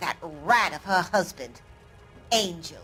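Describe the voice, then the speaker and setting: Putting on a character voice, a woman speaks at a medium pitch and a fairly slow pace with lively intonation. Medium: video game. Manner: curt, sour.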